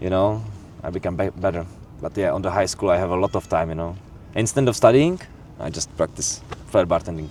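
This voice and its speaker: With a Czech accent, a man speaks in a very deep, low voice at a fairly quick pace. His pitch varies in an ordinary way, and he pauses long and often. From Czech Republic. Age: 20s. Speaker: bartender. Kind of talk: casual chat. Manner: halting.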